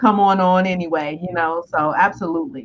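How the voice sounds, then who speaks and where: A loud woman's voice at medium pitch, at a fairly quick pace. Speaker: business coach. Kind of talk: live-stream discussion. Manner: fast.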